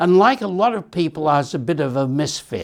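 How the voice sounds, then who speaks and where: Ordinary pitch variation marks this man's speech with an Australian accent. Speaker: author. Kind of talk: author talk.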